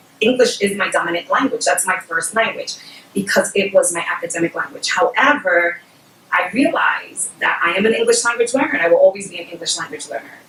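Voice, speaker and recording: Noticeable background noise sits behind a woman talking at a very fast pace. Her pitch is medium and her intonation lively. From Puerto Rico, moved to New York City at about 5 or 6. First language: Spanish. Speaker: bilingual education specialist. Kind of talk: educational webinar talk.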